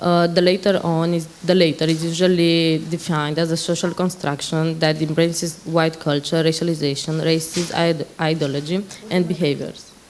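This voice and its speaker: A woman with a fairly low pitch speaks in a flat monotone at a moderate pace, with audible room echo and noticeable background noise. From Romania. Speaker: panel moderator, Roma activist. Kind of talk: conference panel moderation. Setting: conference stage. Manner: halting.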